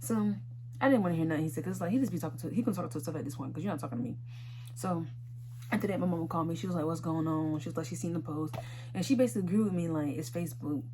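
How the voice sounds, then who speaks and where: A woman speaks very fast with lively intonation and a very deep, low pitch. There is noticeable background noise and audible room echo. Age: 20s. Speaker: YouTuber. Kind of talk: storytime vlog. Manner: animated.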